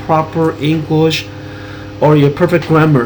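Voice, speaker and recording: A man speaks at a moderate pace in a fairly high voice, with noticeable background noise. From US Pacific Northwest (Washington state), born in Taiwan. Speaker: graduate student presenter. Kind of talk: academic presentation.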